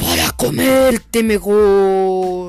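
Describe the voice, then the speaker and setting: Pitched in the middle range, a put-on character voice delivers its lines in a menacing tone. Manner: menacing, gloating.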